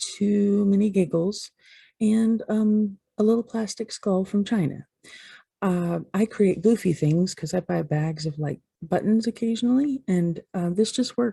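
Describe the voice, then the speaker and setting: Somewhat breathy and fairly slow, the voice has a dark, mellow tone and ordinary pitch variation, with a dry, close sound with no echo in a very clean recording against a silent background. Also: woman. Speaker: vlogger. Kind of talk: casual vlog talk. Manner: hesitant, many ums.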